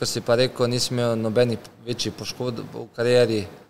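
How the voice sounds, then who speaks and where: The speaker is a man with a flat monotone. Light background noise can be heard. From Slovenia. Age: 30s. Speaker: professional footballer; guest. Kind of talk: casual interview chat. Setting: car showroom. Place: shop. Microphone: studio mic.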